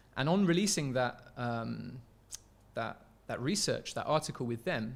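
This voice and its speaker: In an English accent, a man speaks at a moderate pace with a medium pitch. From England. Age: 20s. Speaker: researcher and filmmaker. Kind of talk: podcast interview.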